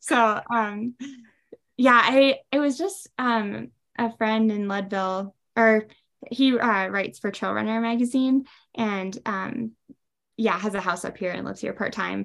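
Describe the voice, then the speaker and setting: With an American accent and a fairly high pitch, a woman talks at a fairly slow pace, leaving long, frequent pauses, her pitch varying in an ordinary way. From US Midwest, Wisconsin. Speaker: ultrarunner and running coach. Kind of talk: interview.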